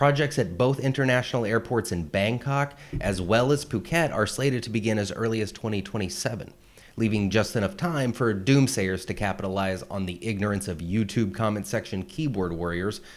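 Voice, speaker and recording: A man speaks with a normal speaking voice. His pitch is fairly low and his intonation lively. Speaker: parody news host. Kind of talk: satirical news read.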